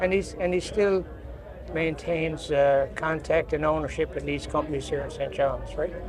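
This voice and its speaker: With music in the background and audible room echo, a man speaks at a moderate pace in a Newfoundland accent. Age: 80s+. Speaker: construction industry veteran. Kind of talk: podcast interview. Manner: halting.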